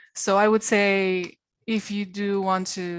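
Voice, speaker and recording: Against a quiet background, a woman speaks with a Spanish accent. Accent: Spanish accent from Spain. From Spain. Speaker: translation quality trainer. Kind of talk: career panel talk. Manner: halting, many fillers.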